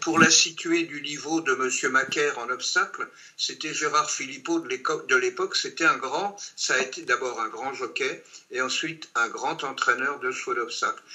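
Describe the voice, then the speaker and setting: A man speaks at a medium tempo while clearly audible noise sits in the background. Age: 80s+. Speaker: horse racing betting expert. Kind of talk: online training session.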